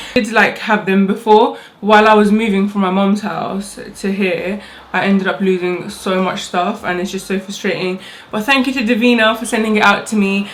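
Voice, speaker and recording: Amid noticeable background noise and audible room echo, a woman speaks fairly quickly at a medium pitch in a flat, monotone way. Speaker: beauty vlogger. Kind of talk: makeup tutorial. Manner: fast.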